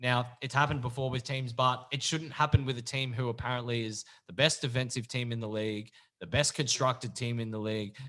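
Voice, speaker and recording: A man talks at a fairly quick pace with an Australian accent. His tone is bright and sharp against a quiet background. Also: medium pitch for a man, fairly even intonation. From Victoria, Australia. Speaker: podcast host. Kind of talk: casual chat.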